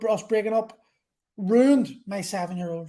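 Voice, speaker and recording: A man speaks in a high pitch with an Irish accent. His pitch varies in an ordinary way at a moderate pace. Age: 40s. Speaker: podcast host. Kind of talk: monologue. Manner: halting.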